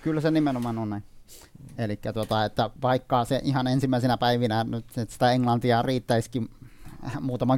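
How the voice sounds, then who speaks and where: A man speaks at a medium pitch and moderate pace with fairly even intonation. The recording is very clean, with a silent background. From Iraqi Kurdistan. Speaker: dictionary editor. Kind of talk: interview. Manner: halting, many fillers and repetitions.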